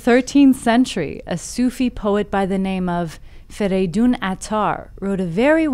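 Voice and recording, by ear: Here, a passage is read aloud in a natural voice.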